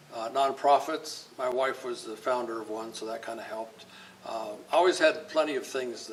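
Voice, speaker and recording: With noticeable background noise behind him, a man of medium pitch speaks at a moderate pace, showing ordinary pitch variation and big swings in loudness. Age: 70s. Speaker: photographer and retired pastor. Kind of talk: casual talk about his work. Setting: art gallery event. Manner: halting, many fillers.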